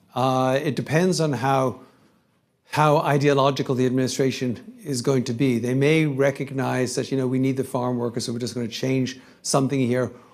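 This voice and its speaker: A man with a European accent talks at a moderate pace and medium pitch. His intonation is fairly even. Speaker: investment strategist. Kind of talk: conference panel talk with Q&A.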